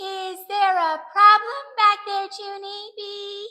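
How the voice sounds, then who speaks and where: A female-sounding, squeaky put-on character voice sits at an extremely high pitch. It moves at a very slow pace with monotone, flat intonation. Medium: read story. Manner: gentle, caring.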